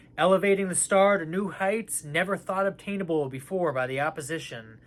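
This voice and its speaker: At a fairly quick pace, a man talks with a high pitch. His pitch variation is ordinary. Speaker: astrology channel host. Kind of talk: spiritual reading. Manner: whispering.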